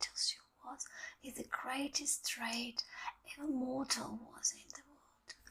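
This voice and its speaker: The voice is soft-spoken with a gentle tone. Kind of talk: ASMR bedtime story reading. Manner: soft-spoken, gentle; slow, relaxing.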